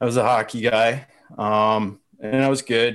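A man with an Ontario accent speaks in a monotone, flat intonation, in a very clean recording with a silent background. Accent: Canadian (Ontario). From Canada, London, Ontario. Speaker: marketing consultant. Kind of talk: casual chat.

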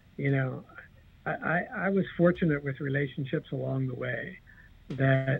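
This is an unremarkable speaking voice, a man's with an American accent. His pitch is fairly high and the pace moderate. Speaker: casino entertainment director and author. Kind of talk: casual interview chat.

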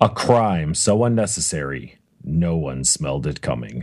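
A man does a put-on character voice with a very deep, low pitch. He talks at a moderate pace. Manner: dramatic, theatrical.

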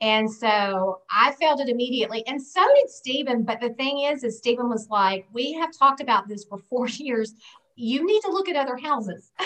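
A woman speaks with a Southern US accent at a high pitch. Her pace is moderate and her intonation lively. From US South. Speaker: guest sharing personal experience. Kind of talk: casual interview chat.

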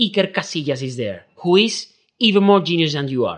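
Speaking at a moderate pace with an Andalusian accent, a man lets his pitch swing very widely over a quiet background. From southern Spain. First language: Spanish. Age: 30s. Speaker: concert pianist. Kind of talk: casual interview.

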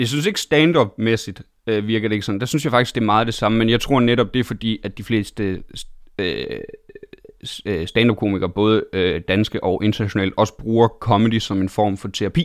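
Speaking at a moderate pace, a man uses a normal speaking voice at medium pitch with ordinary pitch variation. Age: 20s. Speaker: stand-up comedian and TV host. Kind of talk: casual interview chat.

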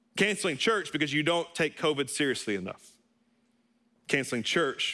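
Speaking at a fairly quick pace, a man uses an animated tone, a fairly high pitch, and lively intonation. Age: 30s. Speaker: pastor. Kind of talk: sermon. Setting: church service, also streamed online.

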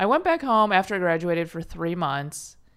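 A woman with an American accent and an ordinary speaking voice talks at a moderate pace, her pitch fairly low. The recording is very clean, with a silent background. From Chicago suburbs, US Midwest. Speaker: stand-up comedian. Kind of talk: casual chat.

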